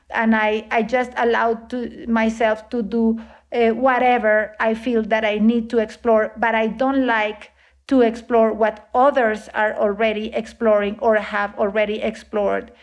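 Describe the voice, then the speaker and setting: Against a quiet background, a woman with a Spanish accent speaks at a fairly slow pace in a monotone, flat intonation. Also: fairly high pitch for a woman. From Colombia. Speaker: composer and sound artist. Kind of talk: interview. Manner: halting, many fillers.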